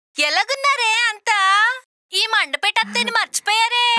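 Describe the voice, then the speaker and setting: A woman's put-on character voice at an extremely high pitch, with ordinary pitch variation and a moderate pace. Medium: short film. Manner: blunt, folksy.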